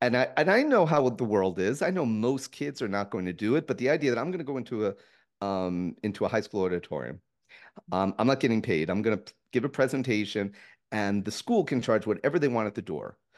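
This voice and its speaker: Against a quiet background, a man with an American accent speaks at medium pitch and a fairly quick pace with lively intonation. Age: 60s. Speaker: author, comedian, presidential candidate. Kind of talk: interview, explanatory talk. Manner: animated, talkative.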